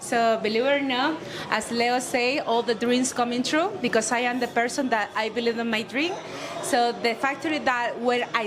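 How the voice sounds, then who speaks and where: A woman talks at a high pitch and moderate pace with ordinary pitch variation and very even loudness. Noticeable background noise is present. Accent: non-native. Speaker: cigar company owner. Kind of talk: panel introduction speech. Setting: cigar bar event with audience. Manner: halting.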